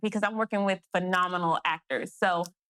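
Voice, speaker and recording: Her tone is bright and sharp, at a medium pitch with fairly even intonation. The woman talks at a fairly quick pace, and the sound is dry and close with no echo. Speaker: independent filmmaker and actress. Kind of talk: interview. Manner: fast.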